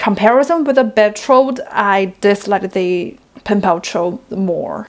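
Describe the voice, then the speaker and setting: This woman has a non-native accent. She talks fairly slowly. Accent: non-native English speaker. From China. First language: Chinese. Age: 20s. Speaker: book reviewer. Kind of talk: book review vlog.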